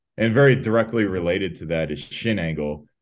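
A man with a Chicago accent, at a fairly quick pace, with ordinary pitch variation. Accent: US Midwest (Chicago). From Chicago, Illinois, US. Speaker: sprint and jumps coach. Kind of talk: casual interview. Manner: many fillers (um, uh).

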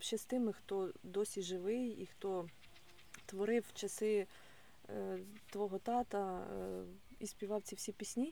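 A woman speaks very slowly at a medium pitch, in a dark, mellow tone. She leaves long, frequent pauses. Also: fairly even intonation. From Mykolaiv region, southern Ukraine. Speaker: podcast host, wellness coach. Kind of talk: interview conversation.

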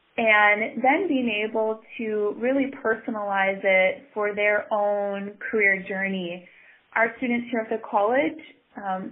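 Here a woman speaks in an American accent at a fairly high pitch. Her pace is fairly slow and her pitch variation ordinary. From northeast Wisconsin, US. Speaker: study abroad coordinator. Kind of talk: interview.

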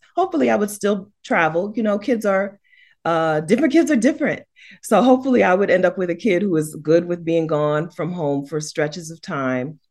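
Against a quiet background, a woman with an American accent talks fairly quickly in an animated tone, her fairly low pitch swinging very widely. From United States. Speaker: YouTuber and house sitter. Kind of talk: casual chat.

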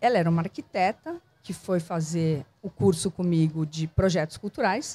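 A woman speaks with a somewhat breathy, dark and mellow tone, in a dry, close sound with no echo. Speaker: cultural producer and entrepreneur. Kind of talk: casual interview. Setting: outdoors in a public square bandstand.

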